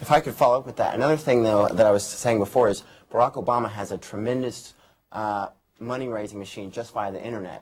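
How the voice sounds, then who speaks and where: A man with an American accent speaks at a very fast pace. His loudness swings widely. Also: medium pitch for a man, ordinary pitch variation. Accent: American accent noticed in Britain. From United States. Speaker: political commentator. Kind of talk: panel discussion.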